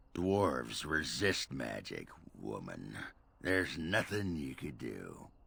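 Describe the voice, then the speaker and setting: Using a put-on character voice, a man speaks raspy and very deep at a fairly slow pace. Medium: video game.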